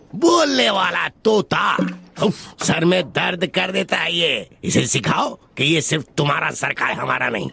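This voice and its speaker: A man puts on a character voice with a high pitch. He keeps a moderate pace. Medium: fan dub. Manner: gruff, commanding.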